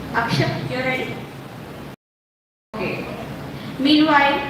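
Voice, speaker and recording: A woman speaks loudly at a fairly slow pace, her pitch high. Long, frequent pauses fall between phrases, and audible room echo surrounds her. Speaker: workshop host. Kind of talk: live event hosting.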